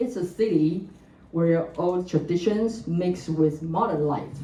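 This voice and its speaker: A woman with a Chinese accent, fairly low-pitched with ordinary pitch variation, at a very slow pace, with audible room echo. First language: Mandarin Chinese. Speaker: government gender equality researcher, panelist. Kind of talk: conference presentation, partly read from notes. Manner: halting, with frequent fillers.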